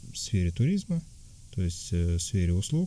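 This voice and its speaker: With a dark, mellow tone and very wide pitch swings, a man speaks at a moderate pace in a somewhat breathy voice. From Tatarstan, Russia. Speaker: emigrant interviewee. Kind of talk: interview. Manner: halting, many fillers.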